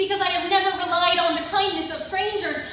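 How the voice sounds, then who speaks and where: Over noticeable background noise, a woman talks at a fairly quick pace in a raised, projected voice. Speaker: theatre conservatory student. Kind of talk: spoken word poetry performance.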